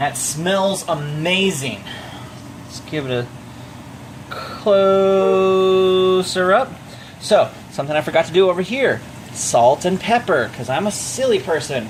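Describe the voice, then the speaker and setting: A man shouts loudly in a high voice with lively intonation at a fairly slow pace, leaving long, frequent pauses. Noticeable background noise sits behind him. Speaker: home cooking vlogger. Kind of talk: cooking tutorial. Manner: loud, near-yelling; casual, chatty. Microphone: microphone not plugged in, using built-in mic.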